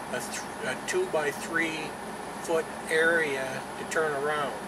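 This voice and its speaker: Loud background noise surrounds a man as he talks. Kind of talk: casual vlog chat. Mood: serious, cautionary. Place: car. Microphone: phone near.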